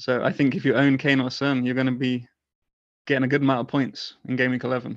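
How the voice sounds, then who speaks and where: A man at a very fast pace with a British accent, medium pitch and monotone, flat intonation. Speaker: football fan and fantasy football community organizer. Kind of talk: casual chat.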